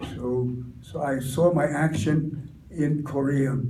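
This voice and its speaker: Against noticeable background noise and audible room echo, a man talks in a monotone, flat intonation at a fairly high pitch. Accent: American. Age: 90s. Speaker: war veteran. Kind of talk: testimony. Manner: halting.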